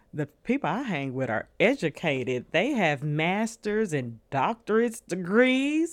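Over a very clean recording and silent background, a woman with a Southern US accent speaks with very wide pitch swings. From New Orleans, Louisiana, raised in Nashville. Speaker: podcast guest sharing abuse story. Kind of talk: casual chat.

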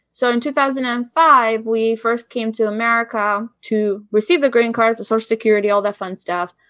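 A woman's fairly high voice with an Albanian accent, fairly even intonation and a fairly quick pace, over a quiet background. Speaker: business consultant. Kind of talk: interview.

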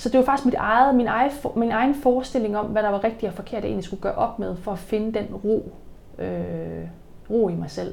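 A fairly high-pitched woman with vocal fry, ordinary pitch variation and a fairly quick pace. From Jutland, Denmark. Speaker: personal trainer and business owner. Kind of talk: interview. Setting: at her bakery and fitness business.

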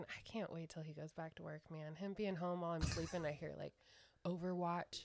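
A woman with a plain, everyday voice, fairly low in pitch, at a fairly quick pace with fairly even intonation. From California. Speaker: host's fiancée. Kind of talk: casual chat.

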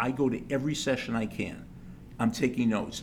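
The man's voice carries vocal fry. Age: 70s. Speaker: sports psychology professor. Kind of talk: interview conversation.

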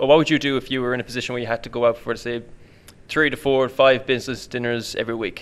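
Here is a speaker with an Irish accent. The pace runs fairly quick. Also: man. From Ireland. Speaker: personal trainer. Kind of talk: casual chat. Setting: studio.

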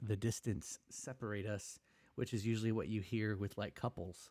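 A man speaks in a monotone with flat intonation at a fairly low pitch and a moderate pace, in a very clean recording with a silent background. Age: 20s. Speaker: podcast co-host. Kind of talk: casual chat.

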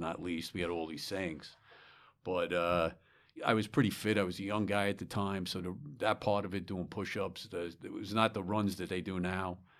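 Flat, monotone intonation comes through in a New York accent on a very clean recording with a silent background. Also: man. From New York, Long Island. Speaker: retired fire chief. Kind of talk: interview. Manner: halting.

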